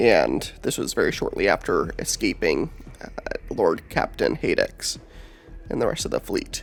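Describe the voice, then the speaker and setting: Music in the background behind a man's fairly slow speech. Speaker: lore video host. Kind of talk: casual lore narration. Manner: hesitant, many filler words.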